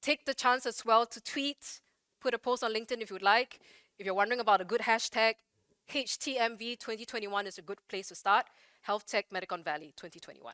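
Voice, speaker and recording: A woman talks very fast with a bright, sharp tone, a fairly high pitch and ordinary pitch variation. The sound is dry and close with no echo, in a very clean recording with a silent background. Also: big swings in loudness. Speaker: event moderator. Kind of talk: event moderation. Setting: conference stage with audience.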